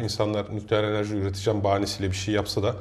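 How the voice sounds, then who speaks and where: Talking at a very fast pace, a man uses a fairly low pitch. His voice is somewhat breathy with a dark, mellow tone. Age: 30s. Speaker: teacher and podcast co-host. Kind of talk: casual chat.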